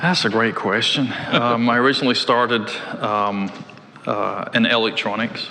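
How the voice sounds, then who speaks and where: Audible room echo and noticeable background noise around a medium-pitched man at a moderate pace. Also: fairly even intonation, very even loudness. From Scotland, Glasgow. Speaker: tech executive. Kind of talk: interview. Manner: hesitant, many fillers.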